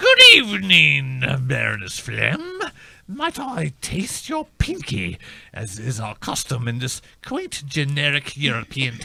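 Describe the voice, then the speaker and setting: A man speaks at a fairly slow pace in a put-on character voice. His pitch sits fairly high. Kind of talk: comic period aristocrat. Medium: comedy sketch. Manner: prissy, affected.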